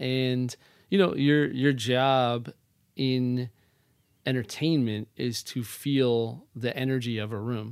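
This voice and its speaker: At a fairly slow pace, a man with an unremarkable speaking voice talks at medium pitch with fairly even intonation. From northern New Jersey. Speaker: real estate agent, former performer. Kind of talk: casual interview.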